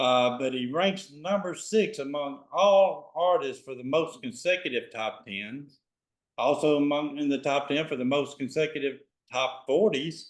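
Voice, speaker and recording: A man talks with a Southern US accent. His pace is moderate and his pitch fairly high. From Memphis, Tennessee. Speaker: interviewer, concert promoter. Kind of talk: interview questions.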